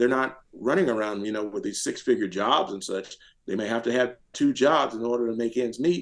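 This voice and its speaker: This voice has an American accent. Its intonation is lively. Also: man. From US South. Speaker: retired military officer and political activist. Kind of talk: podcast interview. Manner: fast.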